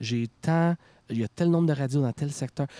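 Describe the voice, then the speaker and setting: Recorded very cleanly with a silent background, the sound is dry and close with no echo. A man talks at a moderate pace with lively intonation. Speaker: rock band frontman. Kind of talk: casual chat. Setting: outdoors.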